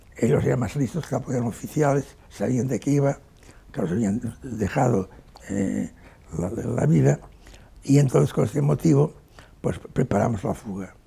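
Speaking at a moderate pace, a man makes long, frequent pauses while his pitch swings very widely. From Spain, Barcelona; Catalonia, Spain. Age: 80s+. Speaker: war veteran. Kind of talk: interview testimony. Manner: halting, frequent repetitions. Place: home room.

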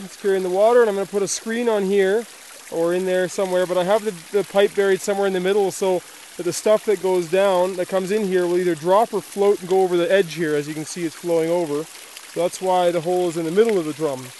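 A man talks at a very fast pace in a high pitch. The sound is dry with no echo, over light background noise. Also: fairly even intonation. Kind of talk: casual vlog chat. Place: forest. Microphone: phone near.

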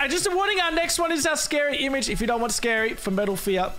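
An extremely high, raised and projected male voice in an Australian accent, with very wide pitch swings, audible room echo and noticeable background noise. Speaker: gaming YouTuber. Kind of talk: casual video commentary.

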